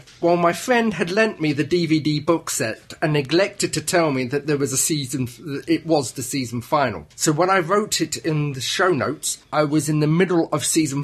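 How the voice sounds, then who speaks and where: A man speaks with hardly any pauses at a fairly high pitch. His voice is somewhat breathy. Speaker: podcast host. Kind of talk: casual chat.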